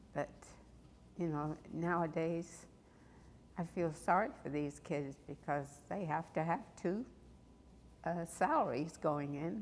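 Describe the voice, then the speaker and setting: Speaking very slowly with long, frequent pauses, a woman uses a fairly low pitch with ordinary variation. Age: 80s+. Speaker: church member. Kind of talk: interview reminiscence. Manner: halting.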